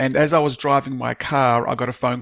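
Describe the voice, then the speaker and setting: A man's medium-pitched voice at a moderate pace, fairly even in intonation, with a dry, close sound and no echo. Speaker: author and business speaker. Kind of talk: podcast interview, personal story. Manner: frequent fillers and restarts.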